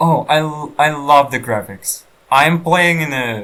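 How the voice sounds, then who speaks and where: The voice has a non-native accent. Its tone is bright and sharp. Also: man. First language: not English. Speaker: gaming let's player. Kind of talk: let's play commentary. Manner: halting.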